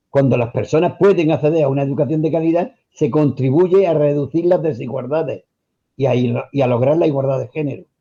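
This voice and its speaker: At a moderate pace, a man with a dark, mellow tone speaks at a fairly high pitch with ordinary pitch variation. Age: 60s. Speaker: retired teacher. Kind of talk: radio interview. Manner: formal.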